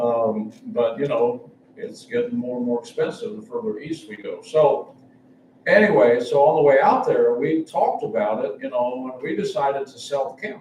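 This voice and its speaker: The speech moves at a moderate pace with big swings in loudness. Noticeable background noise runs underneath. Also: man. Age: 70s. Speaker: travelling preacher. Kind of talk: sermon. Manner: halting.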